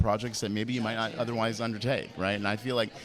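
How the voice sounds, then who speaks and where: A man with a fairly low pitch talks over music in the background. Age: 50s. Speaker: film producer. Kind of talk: red carpet interview.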